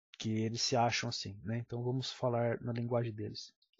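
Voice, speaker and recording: Somewhat breathy, a man with a medium pitch talks at a fairly slow pace. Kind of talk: political commentary monologue.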